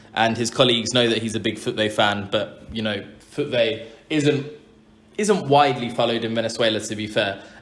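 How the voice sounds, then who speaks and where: A man's medium-pitched voice at a moderate pace, fairly even in intonation, with audible room echo. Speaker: football podcast host. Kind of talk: casual interview. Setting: living room.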